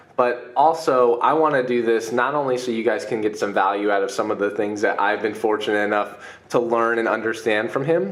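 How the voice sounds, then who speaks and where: In a normal speaking voice at medium pitch, a man talks at a fairly quick pace with hardly any pauses. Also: ordinary pitch variation. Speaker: podcast host. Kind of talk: podcast interview. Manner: casual, conversational.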